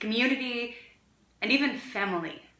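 Audible room echo surrounds a woman who speaks at a fairly slow pace. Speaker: actor performing monologue. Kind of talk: dramatic monologue. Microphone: phone near.

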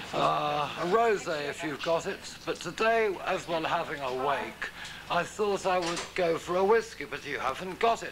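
A man keeps a moderate pace and ordinary pitch variation as noticeable background noise sounds behind him. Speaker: unemployed musician. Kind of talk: documentary interview.

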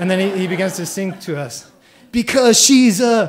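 A man speaks with lively intonation. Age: 30s. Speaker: storyteller. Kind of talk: live storytelling. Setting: stage with audience. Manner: casual, halting with fillers. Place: stage. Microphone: handheld.

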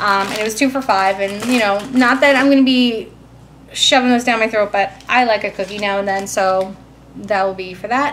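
With light background noise behind her, a woman speaks with ordinary pitch variation. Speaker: vlogger. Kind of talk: casual vlog chat. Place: kitchen. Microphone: phone near.

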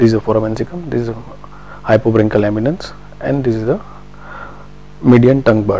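A man's medium-pitched voice at a fairly quick pace, with ordinary pitch variation and noticeable background noise. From India, Gujarat. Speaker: doctor. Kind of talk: lecture.

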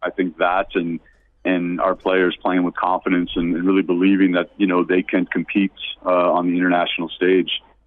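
At a fairly quick pace, a man with a very deep, low pitch talks in a monotone, flat intonation with very even loudness. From United States. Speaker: basketball coach. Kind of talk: interview.

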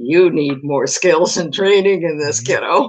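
A man speaks fairly slowly in a high, put-on character voice. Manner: commanding, stern.

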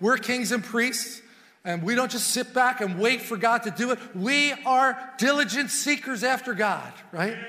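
A man speaks in a raised, projected voice. His pace is fairly slow. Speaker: preacher. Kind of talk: sermon. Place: church. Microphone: lapel.

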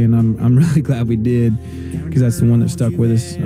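Against clear background music, the speech runs very fast with fairly even intonation and a dry sound with no echo. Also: man. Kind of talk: interview answer. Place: home room.

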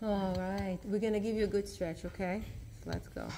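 A woman speaks at a moderate pace. There is light background noise. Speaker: fitness instructor. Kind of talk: workout class instruction. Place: gym. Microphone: phone near.

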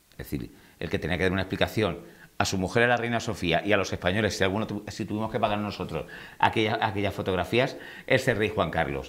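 At a fairly quick pace, a man speaks in a fairly low-pitched voice. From Murcia, Spain. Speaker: celebrity news commentator. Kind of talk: casual chat.

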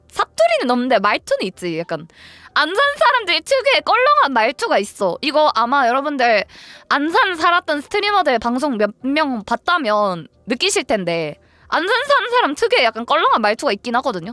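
A woman projects a raised, high voice with a bright, sharp tone and very wide pitch swings at a moderate pace. The sound is dry and close, with no echo. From Ansan, Gyeonggi Province, South Korea. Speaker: live streamer. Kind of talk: casual livestream talk to viewers.

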